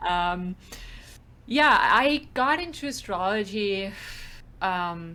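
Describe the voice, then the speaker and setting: Here a woman speaks very slowly in a German accent, with long, frequent pauses. Her tone is bright and sharp, and her intonation is lively. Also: medium pitch for a woman. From Switzerland. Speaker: astrologer. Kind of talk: casual chat.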